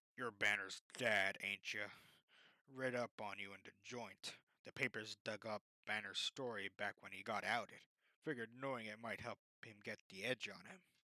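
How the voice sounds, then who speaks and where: A man puts on a character voice at medium pitch, with fairly even intonation and big swings in loudness. The pace is moderate, and the sound is dry and close with no echo. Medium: read story. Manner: blunt, slangy.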